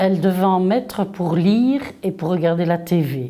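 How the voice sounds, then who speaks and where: This woman's voice has a dark, mellow tone. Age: 60s. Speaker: parent of an athlete. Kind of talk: interview.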